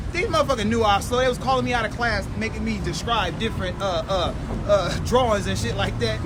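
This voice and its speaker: Amid crowd noise in the background and audible room echo, a man talks at a fairly quick pace. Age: 40s. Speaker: comedian and podcast host. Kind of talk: live comedy podcast chat. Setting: outdoors at live podcast near festival. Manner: fast; animated.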